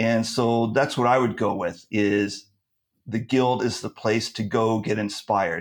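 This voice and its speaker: Recorded very cleanly with a silent background, a man with a Californian accent and medium pitch speaks at a fairly slow pace with fairly even intonation. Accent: Californian American English. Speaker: presentation skills coach. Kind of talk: casual chat.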